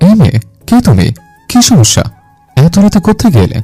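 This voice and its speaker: A man's put-on character voice, high-pitched with very wide pitch swings, very even loudness and a moderate pace, with faint music in the background. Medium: audio drama. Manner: brusque, arrogant.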